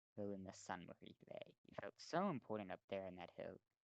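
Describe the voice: The clip is plain reading aloud. Nothing more stands out.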